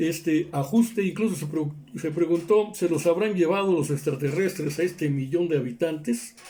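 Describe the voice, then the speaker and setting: The man has a normal speaking voice, talking at a moderate pace with ordinary pitch variation. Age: 60s. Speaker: political commentator. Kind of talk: news commentary monologue.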